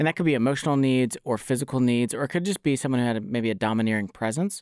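Recorded very cleanly against a silent background, a man at a medium pitch has a plain, everyday voice with ordinary pitch variation. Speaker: podcast co-host. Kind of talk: casual interview chat.

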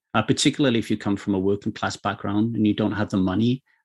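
The speech comes at a very fast pace with fairly even intonation. The background is quiet. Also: man. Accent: Welsh. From South Wales. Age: 40s. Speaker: poker coach. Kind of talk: casual chat.

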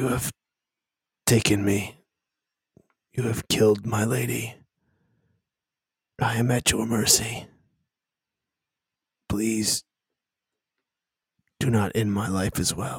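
A man's growling, put-on character voice at medium pitch, fairly slow, with long, frequent pauses. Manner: snarling, then pleading.

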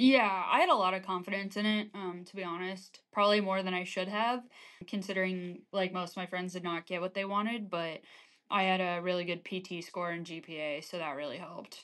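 In a quiet background, a woman with an American accent talks at a fairly quick pace, her pitch medium and her intonation fairly even. She has a normal speaking voice. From US small town. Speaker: army officer. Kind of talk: interview.

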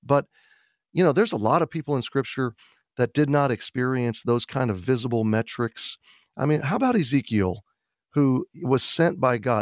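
With a plain, everyday voice, a man speaks at a moderate pace and medium pitch with lively intonation. The sound is dry and close with no echo, in a very clean recording with a silent background. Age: 50s. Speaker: pastor and author. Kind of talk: radio interview.

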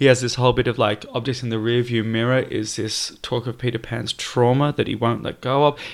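Flat, monotone delivery at a fairly quick pace with hardly any pauses. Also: man, medium pitch for a man. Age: 20s. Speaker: performer. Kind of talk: casual chat.

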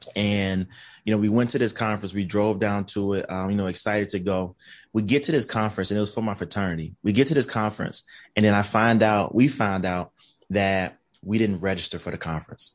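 A man with an American accent and an unremarkable speaking voice talks at a fairly quick pace, his fairly low pitch held to fairly even intonation against a quiet background. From US South, Columbus, Georgia. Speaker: recruitment company founder and diversity consultant. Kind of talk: casual interview.

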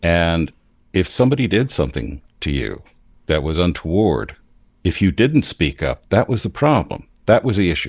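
A man with an American accent speaks at a moderate pace, his pitch swinging very widely and his voice showing vocal fry. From US. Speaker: podcast host and priest. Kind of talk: casual chat.

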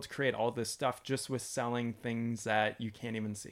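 In a Canadian accent, someone speaks at a moderate pace in an unremarkable speaking voice on a very clean recording with a silent background. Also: man. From London, Ontario, Canada. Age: 30s. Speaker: YouTuber and homesteader. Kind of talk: casual interview.

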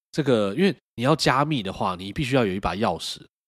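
His intonation is lively, and the very clean recording has a silent background. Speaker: podcast co-host. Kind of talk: casual chat. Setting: motel room.

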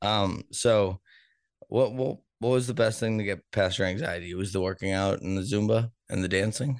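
A man's normal speaking voice with an American accent, ordinary pitch variation and a moderate pace. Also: fairly low pitch for a man. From Boston, US. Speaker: podcast host. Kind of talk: casual interview chat.

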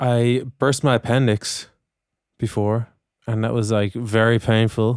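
A man talks fairly slowly at a medium pitch, flat and monotone, his loudness very even. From Dublin, Ireland. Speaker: singer-songwriter. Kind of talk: casual chat. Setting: video call.

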